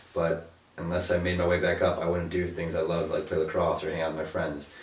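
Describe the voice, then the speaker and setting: A man with a very deep, low pitch talks very fast in a monotone, flat intonation. Noticeable background noise and audible room echo are present. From Ohio, US. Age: 20s. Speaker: college student. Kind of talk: interview.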